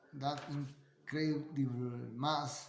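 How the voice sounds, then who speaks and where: Somewhat breathy and monotone, a man with a fairly high pitch and a non-native accent speaks with flat intonation, his voice carrying audible room echo. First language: Spanish. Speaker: amateur science video maker. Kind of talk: casual explanatory monologue. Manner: halting, many fillers and repetitions.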